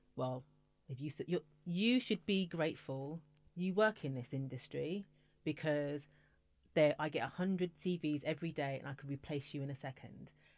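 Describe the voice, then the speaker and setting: Speaking with a British accent, a woman uses a very deep, low pitch with ordinary variation at a moderate pace on a very clean recording with a silent background. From UK. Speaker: music industry executive. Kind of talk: interview. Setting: studio.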